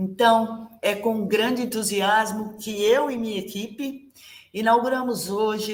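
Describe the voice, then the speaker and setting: A woman speaks at a fairly slow pace in a somewhat breathy, fairly high voice. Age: 60s. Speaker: ballet teacher. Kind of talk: online class presentation.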